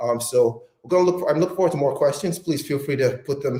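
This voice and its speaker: A man speaks at a very fast pace. His voice is somewhat breathy, with a dark, mellow tone. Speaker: company representative hosting live workout. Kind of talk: live stream workout and Q&A. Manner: hesitant, many fillers.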